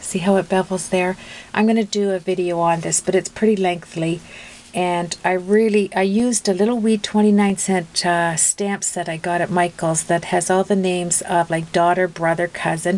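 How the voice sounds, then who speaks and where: Over noticeable background noise, a woman talks at a moderate pace in a medium-pitched voice with monotone, flat intonation. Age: 60s. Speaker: craft video maker. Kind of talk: tutorial. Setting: home craft room. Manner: chatty, many fillers.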